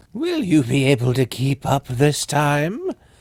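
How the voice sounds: Putting on a character voice, a man talks at a moderate pace with fairly high pitch.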